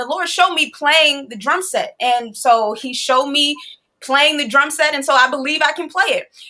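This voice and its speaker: A woman with an American accent speaks in a raised, projected voice. Her tone is bright, sharp and animated. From Chicago, US. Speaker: musician and DJ. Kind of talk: interview storytelling. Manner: fast.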